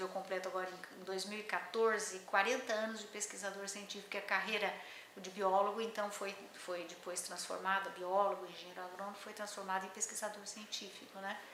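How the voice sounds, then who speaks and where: With noticeable background noise and audible room echo, a woman at a medium pitch speaks fairly quickly, her loudness swinging widely. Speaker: botanist, scientific researcher. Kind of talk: interview, oral history. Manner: halting, many fillers.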